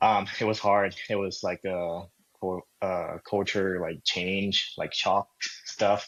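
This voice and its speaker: A man with a Thai accent speaks very slowly in a fairly low pitch, his intonation flat and monotone. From Thailand, Bangkok. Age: 30s. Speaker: real estate agent. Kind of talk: casual interview chat.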